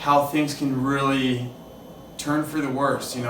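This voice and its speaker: A fairly high-pitched man at a moderate pace, monotone and flat, with audible room echo and noticeable background noise. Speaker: podcast host in recovery from addiction. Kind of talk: casual interview chat. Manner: halting, self-interrupting; casual, filler-heavy.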